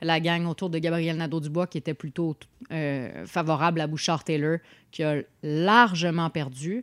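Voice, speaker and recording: A woman with a normal speaking voice talks fairly slowly at a fairly low pitch with ordinary pitch variation, captured in a very clean recording with a silent background and a dry, close sound with no echo. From Montreal, north of the island. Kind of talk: casual political chat.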